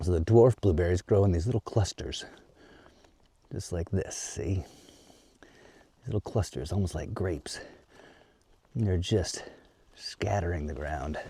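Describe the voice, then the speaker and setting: Somewhat breathy, a man speaks at a fairly slow pace with ordinary pitch variation and long, frequent pauses. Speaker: off-grid homesteader vlogger. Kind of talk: casual outdoor vlog narration. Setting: outdoors. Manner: casual, animated; whispering at times.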